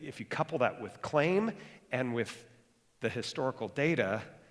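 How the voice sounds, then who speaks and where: A man speaks with ordinary pitch variation. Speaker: pastor. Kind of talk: sermon. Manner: fast; animated.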